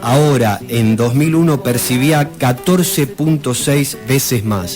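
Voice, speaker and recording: A man with an Argentine accent, medium pitch, lively intonation, very even loudness and a very slow pace, music in the background. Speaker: radio history presenter. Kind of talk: radio history segment.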